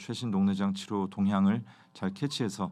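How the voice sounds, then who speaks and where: Over a quiet background, a man delivers his words at a fairly quick pace. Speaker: ophthalmologist, glaucoma specialist. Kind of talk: educational review talk. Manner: hesitant, many fillers.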